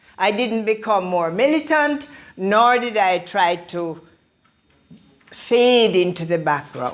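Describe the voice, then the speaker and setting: A woman with a Jamaican accent speaks at a very slow pace. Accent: Jamaican, retained. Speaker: motivational speaker. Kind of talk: motivational speech. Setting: public library talk with audience.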